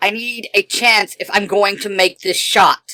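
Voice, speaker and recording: In a put-on character voice, a woman speaks at a medium pitch and a fairly slow pace. Her intonation is monotone and flat. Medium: audio drama. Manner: dry, offhand.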